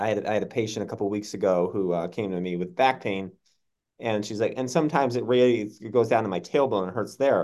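Speaking at a very fast pace with an American accent, this voice has ordinary pitch variation over a quiet background. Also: man, fairly low pitch for a man. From Massachusetts. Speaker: podcast host, doctor. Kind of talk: interview.

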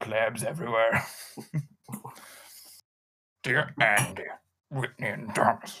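Using a put-on character voice, a man at a medium pitch talks at a fairly slow pace with long, frequent pauses. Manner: pompous, condescending.

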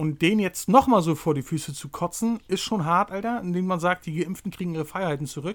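High-pitched, a man talks at a fairly quick pace with hardly any pauses and ordinary pitch variation. The recording is very clean, with a silent background. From Rostock, northeastern Germany. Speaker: podcast host. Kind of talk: casual chat.

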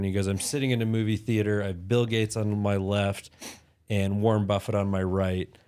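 A man with a fairly low pitch talks fairly quickly in a flat monotone. The recording is very clean with a silent background. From Utah. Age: 30s. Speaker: entrepreneur. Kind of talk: casual interview.

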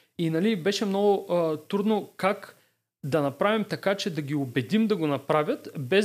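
Recorded very cleanly against a silent background, a man speaks at a high pitch and a moderate pace. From Varna, Bulgaria. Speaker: startup co-founder. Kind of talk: podcast interview. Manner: halting, many fillers and repetitions.

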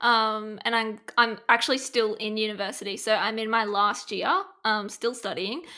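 This voice has an Australian accent and ordinary pitch variation. The pace is moderate. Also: woman. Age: 20s. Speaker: productivity strategist. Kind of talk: casual interview chat. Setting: video call.

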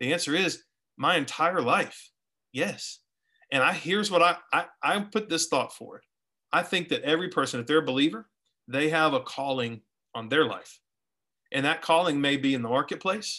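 A man with an American accent and a bright, sharp tone, at a moderate pace with long, frequent pauses, on a very clean recording with a silent background. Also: fairly high pitch for a man, ordinary pitch variation. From Florida, US. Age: 40s. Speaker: small groups pastor. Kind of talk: interview.

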